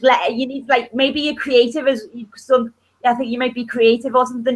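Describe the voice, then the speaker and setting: A woman speaks at a fairly quick pace in a high pitch. Her loudness swings widely. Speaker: online chat participant. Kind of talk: casual chat. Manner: animated.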